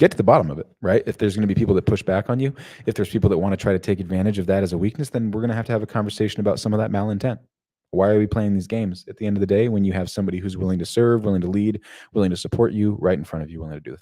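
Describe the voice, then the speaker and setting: On a very clean recording with a silent background, a man speaks very fast in a dark, mellow tone at a fairly low pitch, his intonation fairly even but his loudness swinging widely. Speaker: workplace culture coach. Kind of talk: live stream Q&A discussion. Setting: live stream. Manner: wordy, lengthy.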